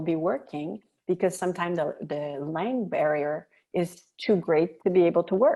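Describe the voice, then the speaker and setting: Speaking with a French Canadian accent, the voice has a dark, mellow tone, a fairly slow pace and ordinary pitch variation. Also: woman. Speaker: military spouse, volunteer. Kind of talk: podcast interview.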